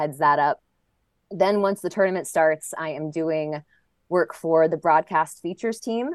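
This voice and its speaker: A woman with an ordinary speaking voice, pitched fairly low and speaking at a fairly slow pace. Her pitch varies in an ordinary way, and the sound is dry and close with no echo over a quiet background. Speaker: tennis announcer and interviewer. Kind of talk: casual interview chat.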